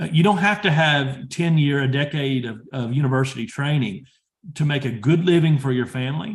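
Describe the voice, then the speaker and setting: Somewhat breathy, a man speaks fairly quickly in a fairly high voice with ordinary pitch variation. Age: 30s. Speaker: industry professional and PhD student. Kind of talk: career advice talk.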